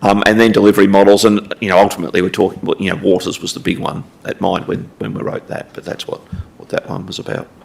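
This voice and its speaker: Over noticeable background noise, a man talks very fast in a fairly low, monotone, flat voice whose loudness swings widely. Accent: Australian. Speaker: council finance staff presenting strategy. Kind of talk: council briefing presentation. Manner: halting, many fillers and repetitions.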